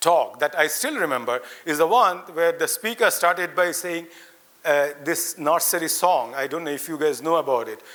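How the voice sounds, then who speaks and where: A man speaks loudly in an animated tone. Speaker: invited speaker, academic. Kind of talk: ceremonial speech to students. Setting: auditorium with audience, lapel mic. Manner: interactive, animated.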